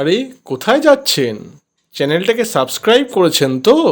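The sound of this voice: A high-pitched male voice with big pitch swings, at a fairly quick pace.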